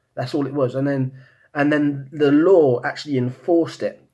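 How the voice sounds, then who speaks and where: Mumbling at a moderate pace, a man with a British accent uses a fairly high pitch and ordinary pitch variation. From Britain. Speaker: vlogger. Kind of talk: monologue. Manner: halting, many repeated words.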